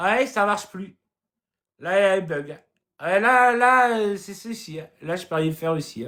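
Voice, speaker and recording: The voice is raised and projected, with a bright, sharp, animated tone, big swings in loudness, ordinary pitch variation, a fairly slow pace and long, frequent pauses. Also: man, high pitch for a man. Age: young. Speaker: comedic live streamer. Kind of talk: humorous live stream chat. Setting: live stream.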